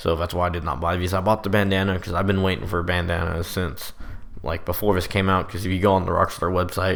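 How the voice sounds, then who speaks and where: A man speaks very fast in a very deep, low pitch and a monotone, flat intonation. Audible room echo surrounds his voice. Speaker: gaming youtuber. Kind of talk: gameplay commentary. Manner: casual.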